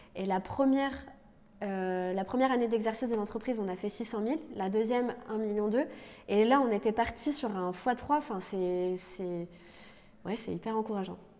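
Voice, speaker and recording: Pitch varies in an ordinary way as the speaker moves along at a moderate pace. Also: woman, fairly high pitch for a woman. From Lorraine, France. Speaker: entrepreneur, co-founder. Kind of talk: interview. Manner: halting, many repetitions and fillers.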